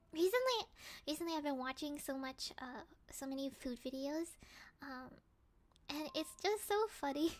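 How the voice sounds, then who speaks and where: Soft-spoken delivery at a moderate pace, lively in intonation, with long, frequent pauses. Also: woman. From Hong Kong. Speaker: live streamer. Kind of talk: casual chat. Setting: live stream. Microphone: quiet audio, maybe too far from mic.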